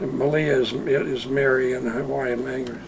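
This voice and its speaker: Fairly even intonation and a fairly slow pace come through noticeable background noise and audible room echo. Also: man. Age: 70s. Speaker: retired schoolteacher. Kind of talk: interview storytelling. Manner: halting, repetitive.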